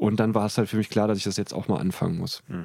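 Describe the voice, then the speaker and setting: This man's voice sits fairly low, with a dark, mellow tone. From Germany, Trier. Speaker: comedian and comedy writer. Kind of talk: casual chat.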